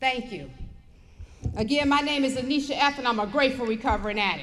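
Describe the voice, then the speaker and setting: Speech at a fairly quick pace with ordinary pitch variation, audible room echo and noticeable background noise. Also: woman. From Detroit, Michigan, US. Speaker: recovery speaker. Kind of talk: testimony. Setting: stage with audience.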